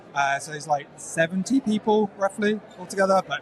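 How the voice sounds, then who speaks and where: Male speech over clear background noise, its pitch moving in a typical way. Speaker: security awareness professional. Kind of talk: casual interview chat. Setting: live at a conference. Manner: hesitant, many fillers.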